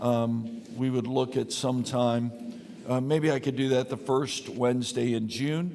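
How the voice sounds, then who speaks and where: Medium pitch from a man, a fairly slow pace and fairly even intonation, with noticeable background noise. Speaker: pastor. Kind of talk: Bible study teaching. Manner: not projecting, normal conversational volume; casual with many fillers.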